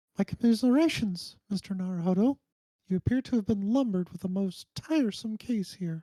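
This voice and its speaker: A man uses a put-on character voice, pitched high, with ordinary pitch variation and a fairly quick pace. The sound is dry and close with no echo. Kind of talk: refined, formal.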